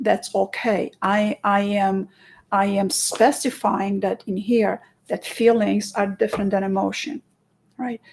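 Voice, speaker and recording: A woman with a Romanian accent speaks at a fairly slow pace in a somewhat breathy, medium-pitched voice with fairly even intonation. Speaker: hypnotherapist. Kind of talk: interview. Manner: halting.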